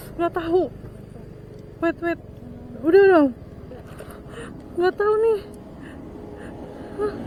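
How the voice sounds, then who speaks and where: A woman's voice with ordinary pitch variation and long, frequent pauses amid noticeable background noise. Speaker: motovlogger. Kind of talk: casual vlog narration while riding. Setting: on a motorbike outdoors. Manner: animated.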